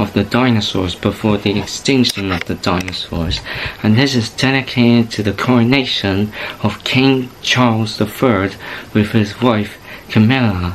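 A man's ordinary speaking voice, fairly low in pitch and at a moderate pace, with fairly even intonation over light background noise. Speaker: YouTube channel host. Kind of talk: casual vlog chat. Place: home room. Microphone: webcam.

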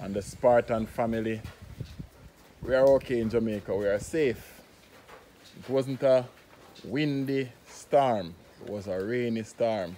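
Light background noise accompanies delivery at a fairly slow pace. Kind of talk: casual vlog chat. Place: open country. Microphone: phone near.

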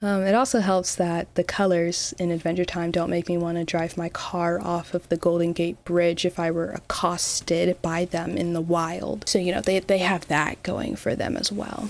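With hardly any pauses, the voice carries ordinary pitch variation in a dry sound with no echo. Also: woman, fairly low pitch for a woman, moderate pace. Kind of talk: casual commentary. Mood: playful, opinionated. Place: home room. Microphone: studio mic.

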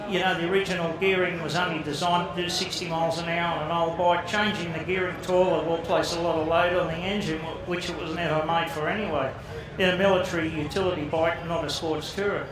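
Against noticeable background noise and audible room echo, a man with a high pitch talks at a very fast pace in a monotone, flat intonation. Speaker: speaker. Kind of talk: informal talk to an audience. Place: hall.

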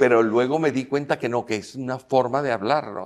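The background stays quiet. This man's delivery is fairly quick. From Venezuela. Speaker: filmmaker and actor; actor. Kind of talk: interview. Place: hall.

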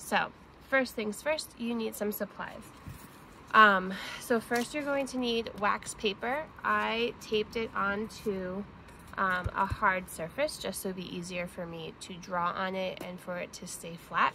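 A woman speaks at a fairly slow pace with ordinary pitch variation over light background noise. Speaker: teacher or parent doing a kids' craft. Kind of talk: tutorial. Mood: cheerful, warm. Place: garden. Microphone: phone near.

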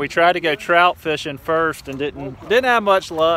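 A man talks at a fairly slow pace. His tone is bright and sharp.

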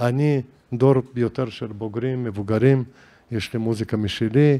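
Speaking very slowly in a Caucasus accent, a man uses a medium pitch, fairly even intonation and a dark, mellow tone. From Dagestan, Derbent (Caucasus). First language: Juhuri (speaking Hebrew). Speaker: composer and musicologist. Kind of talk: interview conversation. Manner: halting.

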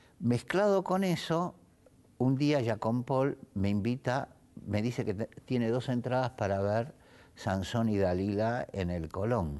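A man's fairly low-pitched voice moves along at a fairly slow pace. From Italy, raised in Argentina from age five. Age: 60s. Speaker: theatre producer; interviewee. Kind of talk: interview. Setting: his theatre. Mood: relaxed, storytelling. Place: hall.

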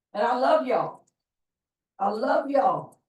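A woman speaks in an animated, somewhat breathy voice at a fairly slow pace, her pitch swinging very widely. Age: 70s. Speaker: college board trustee. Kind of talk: board meeting remarks.

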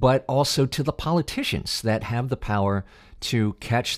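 The background is quiet. A man speaks with lively intonation. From United States. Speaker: voice actor. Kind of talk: podcast interview host. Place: home room. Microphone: studio mic.

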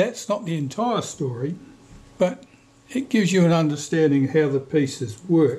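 Dark and mellow in tone, a man's voice moves at a fairly slow pace. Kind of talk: tutorial. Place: workshop.

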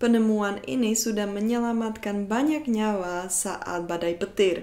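Speaking fairly slowly with a Czech accent, a woman has a dark, mellow tone. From Czech Republic. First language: Czech (speaking Indonesian). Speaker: YouTuber; educational vlogger. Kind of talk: educational vlog; educational vlog talk. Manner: hesitant with frequent fillers. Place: home room.

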